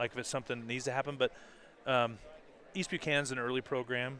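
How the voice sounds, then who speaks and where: A loud man talks very fast at a medium pitch, his tone bright and sharp and his intonation fairly even. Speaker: color commentator, former wrestling coach. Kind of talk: live sports commentary.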